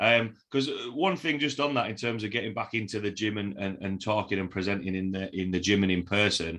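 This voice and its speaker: With a Yorkshire accent, a man talks at a fairly quick pace with hardly any pauses. His fairly low voice has a bright, sharp tone and ordinary pitch variation. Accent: broad Yorkshire. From Yorkshire, northern England. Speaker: podcast host. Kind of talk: interview podcast.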